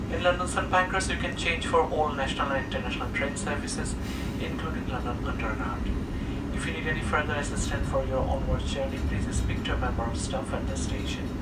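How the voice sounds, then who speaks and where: Loud background noise fills the clip. Over it, a man talks at a very fast pace. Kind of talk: public address announcement. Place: train.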